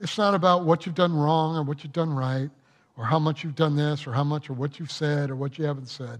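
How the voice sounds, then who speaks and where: A man's normal speaking voice, fairly high in pitch, fairly quick and fairly even in intonation, against a quiet background. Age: 60s. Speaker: pastor. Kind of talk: sermon. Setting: church.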